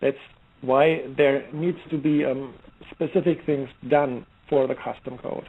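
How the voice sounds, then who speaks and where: With a German accent, a man talks at a fairly high pitch and a fairly slow pace, his intonation fairly even. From Germany, Heidelberg. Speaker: software security expert. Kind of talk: interview. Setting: online radio show. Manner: halting, many fillers and restarts.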